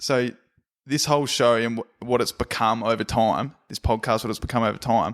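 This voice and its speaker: In an Australian accent, a man speaks with fairly even intonation. The recording is very clean, with a silent background and a dry, close sound with no echo. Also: medium pitch for a man, moderate pace. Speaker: podcast host. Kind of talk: casual chat.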